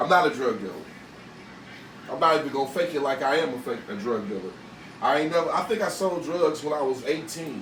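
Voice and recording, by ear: A man at a fairly quick pace, lively intonation, with audible room echo. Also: medium pitch for a man, fairly bright tone.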